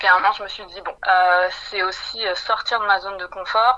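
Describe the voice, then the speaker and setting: A woman speaks at a medium pitch with ordinary pitch variation. Noticeable background noise can be heard. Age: 20s. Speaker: HR development manager. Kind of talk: interview.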